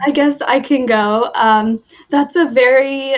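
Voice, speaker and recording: Very slow delivery with ordinary pitch variation in a Midwestern US accent. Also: woman. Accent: General American, Midwestern. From US Midwest, Michigan. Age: 20s. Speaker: university graduate, English coach. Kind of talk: casual interview.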